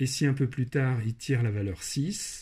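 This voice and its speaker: Lively in intonation and dark, mellow in tone, the voice moves at a fairly slow pace on a very clean recording with a silent background. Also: man. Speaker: maths and programming teacher. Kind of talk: tutorial narration.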